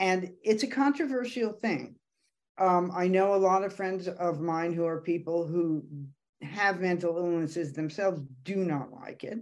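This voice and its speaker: At a fairly slow pace, a woman talks in an unremarkable speaking voice with ordinary pitch variation. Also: fairly low pitch for a woman. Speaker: podcast co-host, mother. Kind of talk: casual interview chat.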